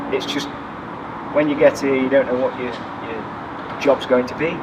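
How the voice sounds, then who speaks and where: Man with an East Midlands accent at a fairly slow pace, ordinary pitch variation, noticeable background noise. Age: 60s. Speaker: firefighter. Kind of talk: interview.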